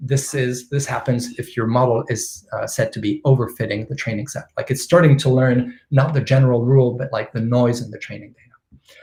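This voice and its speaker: A man speaks at a fairly quick pace with hardly any pauses. His tone is dark and mellow, somewhat breathy, with fairly even intonation. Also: medium pitch for a man, big swings in loudness. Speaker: machine learning expert speaker. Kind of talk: technical lecture with live demo. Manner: fast.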